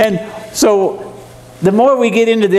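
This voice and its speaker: A man with an American accent is heard amid noticeable background noise and audible room echo. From Arizona. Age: 70s. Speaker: preacher. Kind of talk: sermon. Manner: animated.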